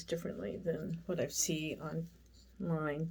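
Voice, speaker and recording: A woman talks in a fairly low, somewhat breathy voice. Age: 60s. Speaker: makeup vlogger. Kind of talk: tutorial. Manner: casual, rambling with fillers.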